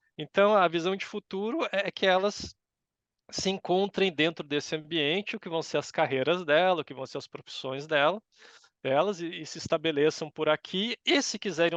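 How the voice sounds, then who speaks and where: Against a quiet background, a man speaks in a normal speaking voice at a moderate pace with ordinary pitch variation, the sound dry and close with no echo. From Brazil, São Paulo. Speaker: university professor. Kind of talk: interview.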